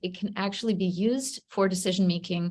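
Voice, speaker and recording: A somewhat breathy woman's voice at a fairly quick pace, with ordinary pitch variation. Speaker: state data system leader presenting. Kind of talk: virtual community Q&A presentation. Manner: fast-talking.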